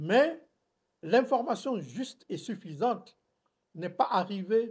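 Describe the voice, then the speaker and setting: A man speaks with lively intonation. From Burkina Faso. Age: 80s+. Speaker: former diplomat. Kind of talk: interview. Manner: hesitant with fillers.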